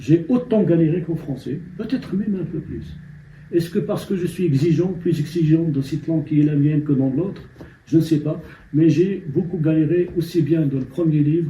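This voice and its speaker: Fairly high in pitch yet dark and mellow in tone, a man speaks at a moderate pace with fairly even intonation. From Morocco, Amazigh-speaking village. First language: Amazigh (Berber) (speaking French). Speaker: novelist. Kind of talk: interview. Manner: hesitant, many fillers and repetitions.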